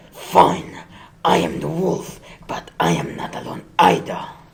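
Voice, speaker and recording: A growling put-on character voice speaks at a fairly slow pace. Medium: stage play. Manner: sly, mock-sweet.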